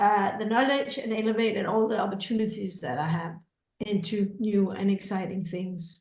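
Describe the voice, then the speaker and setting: A woman speaks with medium pitch and ordinary pitch variation at a moderate pace. Her voice sounds somewhat breathy. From Scandinavia. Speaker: creativity educator and author. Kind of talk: testimonial in info session.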